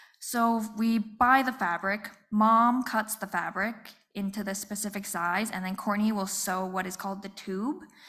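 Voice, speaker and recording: Soft-spoken, a woman talks with a fairly high pitch and ordinary pitch variation. The recording is very clean, with a silent background. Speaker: small business owner. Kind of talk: panel talk. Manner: quiet.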